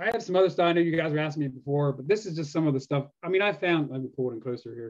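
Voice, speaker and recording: A man with an American accent talks at a very fast pace with hardly any pauses, using a fairly high pitch and lively intonation. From US, Pennsylvania (York). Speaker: metal detecting YouTuber. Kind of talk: casual chat.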